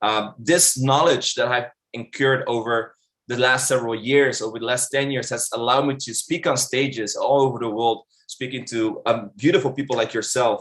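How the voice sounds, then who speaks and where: A man with a Dutch accent talks at a medium pitch and moderate pace, his intonation fairly even. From Netherlands. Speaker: online marketing instructor. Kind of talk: webinar presentation. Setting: virtual live event.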